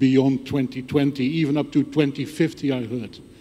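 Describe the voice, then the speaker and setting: A man speaks at a fairly high pitch with ordinary pitch variation. Noticeable background noise runs under his voice. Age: 60s. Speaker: conference attendee asking a question. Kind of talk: audience comment at conference.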